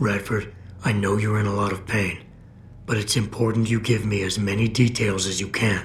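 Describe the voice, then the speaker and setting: A calm, put-on character voice in a flat monotone, with clear background noise behind it. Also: man, fairly low pitch for a man, moderate pace. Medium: video game. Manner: calm, measured.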